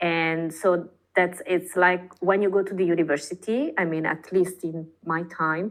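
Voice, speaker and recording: Speaking at a fairly slow pace with an Italian accent, a woman keeps her fairly low voice in fairly even intonation. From northern Italy, Padua countryside. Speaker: artist. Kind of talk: casual interview chat. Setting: podcast. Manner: halting, many fillers.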